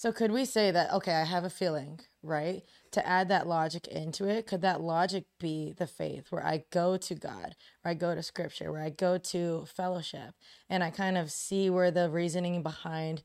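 A woman with a plain, everyday voice speaks at a fairly low pitch and a moderate pace. The recording is very clean, the background silent. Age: young. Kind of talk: casual chat.

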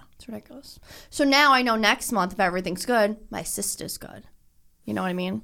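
A woman's medium-pitched voice at a fairly quick pace, animated and bright with a sharp tone, ordinary pitch variation, and a very clean recording against a silent background. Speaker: podcast co-host. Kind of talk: casual banter between friends. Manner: animated, excitable.

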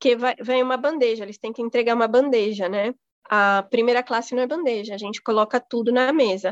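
Over a quiet background, a normal speaking voice moves at a fairly quick pace with fairly even intonation, the sound dry and close with no echo. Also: woman. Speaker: flight attendant. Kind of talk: casual interview. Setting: remote call.

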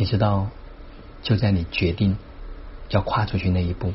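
Moderate in pace, a man's speech carries through. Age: 50s. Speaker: self-development speaker. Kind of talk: daily monologue sharing. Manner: animated.

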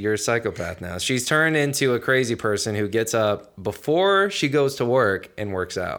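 Using lively intonation and an animated tone, a man with an American accent talks at a moderate pace and medium pitch with hardly any pauses. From New Jersey. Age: 20s. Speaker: podcast guest. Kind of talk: casual chat.

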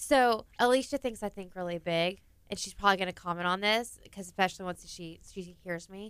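A woman talks in a plain, everyday voice at medium pitch with ordinary pitch variation. Her pace is fairly quick, with big swings in loudness. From Texas. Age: 30s. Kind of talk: interview. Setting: studio.

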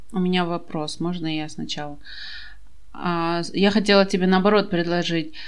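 A woman with a fairly low voice speaks at a moderate pace in a flat monotone, leaving long, frequent pauses, with audible echo in the room. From Kazakhstan. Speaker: podcast host. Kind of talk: casual chat.

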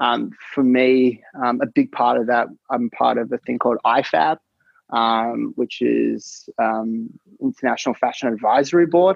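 A man at a moderate pace, with long, frequent pauses. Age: 30s. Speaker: startup founder of a custom denim brand. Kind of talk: interview. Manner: hesitant, many fillers.

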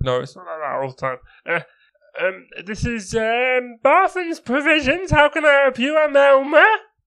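A man does a put-on character voice at an extremely high pitch. He speaks at a moderate pace. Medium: actual play. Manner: hesitant, lots of ums and stammering.

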